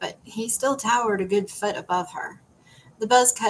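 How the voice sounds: In a natural reading voice, the speaker's pitch shifts by an ordinary amount.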